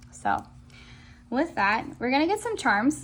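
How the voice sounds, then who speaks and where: The woman's voice is somewhat breathy. She talks at a moderate pace. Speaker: tarot reader. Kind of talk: pick-a-card tarot reading. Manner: animated.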